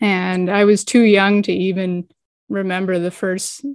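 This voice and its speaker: A woman at a moderate pace with an American accent and monotone, flat intonation. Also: very clean recording, silent background. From New England (Boston, Massachusetts). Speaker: donor-conceived person. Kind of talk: casual interview chat.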